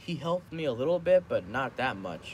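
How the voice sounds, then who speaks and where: Light background noise accompanies speech at a moderate pace. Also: man. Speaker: vlogger. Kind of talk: casual vlog chat. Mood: relaxed, some complaining. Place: home room. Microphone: phone near.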